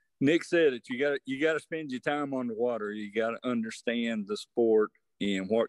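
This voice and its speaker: A man with an unremarkable speaking voice talks at a fairly quick pace with ordinary pitch variation. The sound is dry and close with no echo, over a quiet background. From Virginia. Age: 60s. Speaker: veteran bass angler. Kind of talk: podcast interview.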